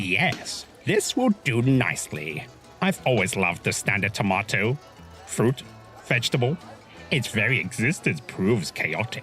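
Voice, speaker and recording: Clear music plays in the background as a man does a put-on character voice. His pitch is medium and his pace moderate. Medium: read story. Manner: theatrical, sarcastic, smug.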